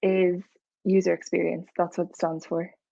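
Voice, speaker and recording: A woman of medium pitch with an Irish accent. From Ireland. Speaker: UX researcher. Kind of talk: talk with slides. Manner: many filler ums.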